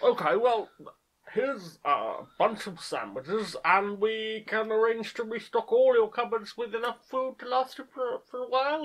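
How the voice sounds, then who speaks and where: Someone uses a put-on character voice with a fairly high pitch at a moderate pace. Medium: comedy sketch. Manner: polite, hesitant.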